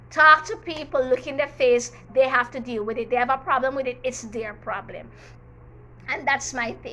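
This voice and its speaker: In a Jamaican accent, a woman speaks in a high, raised, projected voice with an animated tone and big swings in loudness. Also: ordinary pitch variation, moderate pace. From Jamaica, Manchester parish. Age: 40s. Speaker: teacher and YouTuber. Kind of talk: storytime vlog, personal testimony. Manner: animated, emphatic.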